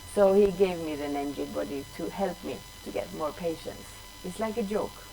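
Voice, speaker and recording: Over background music, a woman with a Swedish accent speaks at a moderate pace, her loudness swinging widely amid audible room echo. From Sweden. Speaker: drummer. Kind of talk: interview.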